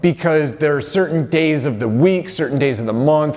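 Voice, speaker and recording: A fairly high-pitched man talks with ordinary pitch variation while noticeable background noise carries on underneath. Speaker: strength and conditioning coach. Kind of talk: motivational talk to camera. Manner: casual with many fillers.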